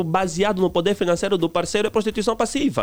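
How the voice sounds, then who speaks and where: A man speaks in a high pitch at a very fast pace. His pitch variation is ordinary. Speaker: relationship commentator. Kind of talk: radio interview.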